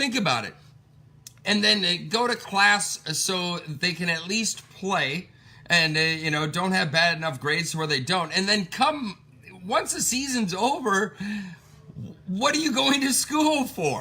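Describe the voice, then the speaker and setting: Raising and projecting his high voice, a man speaks at a fairly slow pace with very wide pitch swings. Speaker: sports podcast host. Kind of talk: casual sports commentary. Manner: energetic.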